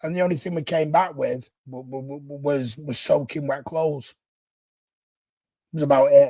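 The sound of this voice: Speaking at a moderate pace, a man has a fairly high pitch, a dark, mellow tone and fairly even intonation.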